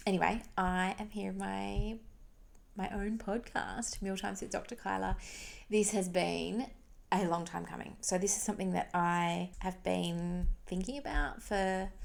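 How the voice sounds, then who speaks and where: Soft-spoken, a woman talks at a fairly slow pace. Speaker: podcast host, pediatric dietitian. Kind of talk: casual monologue. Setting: home recording at night. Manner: chatty, informal.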